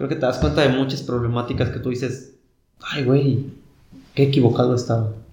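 Speaking with a Mexican accent, a man has a dark, mellow, somewhat breathy tone, fairly even intonation and long, frequent pauses, with audible room echo. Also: medium pitch for a man, fairly quick pace. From rural Mexico. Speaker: university student. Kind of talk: casual chat. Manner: halting, with many repeated words.

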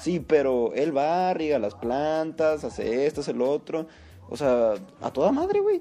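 A man with a Mexican accent at a fairly high pitch and a fairly slow pace, with music in the background. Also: ordinary pitch variation. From Mexico. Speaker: podcast co-host. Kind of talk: casual chat.

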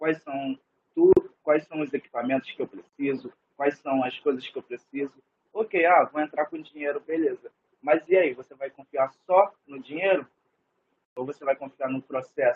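A man speaks in a plain, everyday voice at a fairly high pitch. His pace is moderate, with ordinary pitch variation and big swings in loudness. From Rio de Janeiro state, Niterói. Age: 20s. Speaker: cook. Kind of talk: casual interview.

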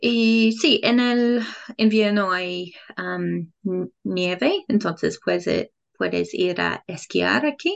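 A woman talks with an English accent. Her pace is very slow. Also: quiet background. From England. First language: English (speaking Spanish). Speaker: Spanish learner and English teacher. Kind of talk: casual interview. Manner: halting, many fillers.

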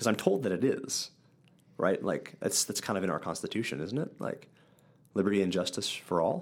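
Speaking at a fairly quick pace in an Upper Midwest accent, a man uses a fairly low pitch and lively intonation. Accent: Upper Midwest American. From central Wisconsin. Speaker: church podcast co-host. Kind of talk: casual Bible discussion.

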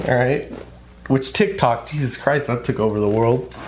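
With an animated tone, a man speaks at a medium pitch and a moderate pace, with ordinary pitch variation and noticeable background noise. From California. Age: 30s. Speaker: podcast host. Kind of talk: casual chat.

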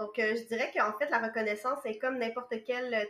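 A woman speaks with a Quebec accent in a fairly high pitch. Her pace is moderate and her intonation monotone and flat. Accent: Québécois French. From Quebec, Montreal. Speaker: massage therapist. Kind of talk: casual interview. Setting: remote call.

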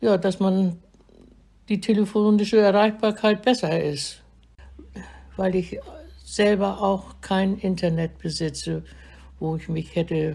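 Speaking at a very slow pace with long, frequent pauses, a woman has a medium-pitched, somewhat breathy voice. Her tone is dark and mellow, with ordinary pitch variation. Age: 80s+. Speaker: elderly vaccine recipient. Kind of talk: recorded interview.

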